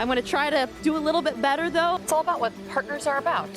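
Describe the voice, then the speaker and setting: With music in the background, a woman speaks in a playful tone. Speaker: TV meteorologist and journalist. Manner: playful, joking.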